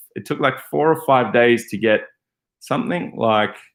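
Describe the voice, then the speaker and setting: On a very clean recording with a silent background, a man speaks with an Australian accent at a moderate pace. His medium pitch moves with lively intonation. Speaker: van life vlogger. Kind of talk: casual livestream Q&A. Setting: livestream. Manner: hesitant, many fillers and repeats.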